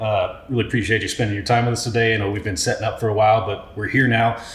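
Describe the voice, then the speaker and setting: Noticeable background noise sits behind a man with an American accent and medium pitch. He talks at a very fast pace in a monotone, flat delivery, with hardly any pauses. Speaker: podcast host, country musician. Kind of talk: podcast interview host.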